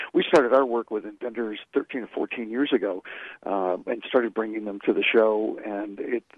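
At a moderate pace, a man speaks at medium pitch. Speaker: trade association marketing executive. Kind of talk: radio interview. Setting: phone call. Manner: hesitant, filler-heavy.

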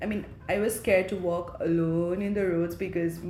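Fairly even intonation at a moderate pace, with noticeable background noise and audible room echo. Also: woman. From eastern Nepal, Ilam. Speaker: nurse and graduate student. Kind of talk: interview.

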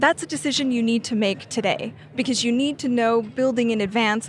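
Noticeable background noise sits behind a woman whose fairly high-pitched voice has lively intonation. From Canada. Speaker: energy policy analyst. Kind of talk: interview. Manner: halting, many fillers and restarts.

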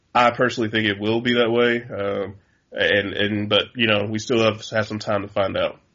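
Monotone, flat intonation at a moderate pace. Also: man, medium pitch for a man. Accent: American. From Chicago. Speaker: sports writer. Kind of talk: casual chat.

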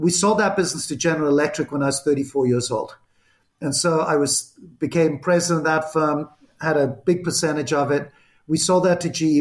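Using a Zimbabwean accent, a man with a fairly high pitch talks at a fairly quick pace with very even loudness and fairly even intonation. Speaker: entrepreneur and former CEO. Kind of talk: interview.

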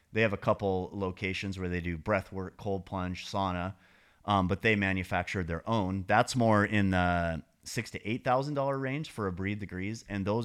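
A man with an ordinary speaking voice talks at a moderate pace and fairly low pitch with ordinary pitch variation, on a very clean recording with a silent background. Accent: American. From Montana. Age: 50s. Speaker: sauna business owner and elk hunter. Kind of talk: casual chat. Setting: podcast.

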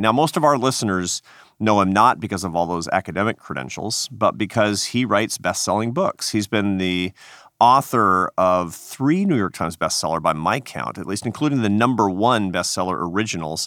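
In a very clean recording with a silent background, a man with an American accent speaks in an unremarkable speaking voice, fairly low in pitch, with lively intonation. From Seattle. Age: 50s. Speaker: podcast host and think tank head. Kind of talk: interview and narration.

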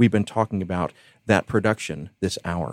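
Fairly low-pitched with ordinary pitch variation, a man speaks in a normal speaking voice, with a dry, close sound and no echo. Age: 40s. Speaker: radio host. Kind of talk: interview.

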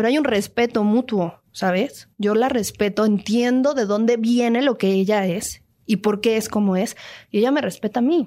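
On a very clean recording with a silent background, a woman with a plain, everyday voice speaks at a moderate pace with very even loudness, her pitch fairly high with ordinary variation. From Mexico City. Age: 20s. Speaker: actress and singer. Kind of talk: interview. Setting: radio studio.

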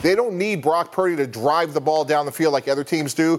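A man has an unremarkable speaking voice, pitched fairly high. He speaks fairly quickly with ordinary pitch variation. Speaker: football analyst, former executive. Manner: measured, analytical.

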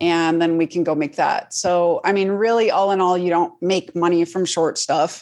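In an American accent, a woman speaks in a fairly low, monotone voice with flat intonation and very even loudness. She hardly pauses, and the background is quiet. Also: moderate pace. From Colorado Springs, US. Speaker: actress and writer-producer. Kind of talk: interview chat.

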